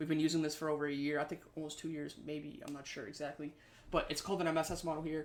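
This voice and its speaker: Speaking at a very fast pace, a man talks at a fairly high pitch. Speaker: trading instructor. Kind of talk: lecture.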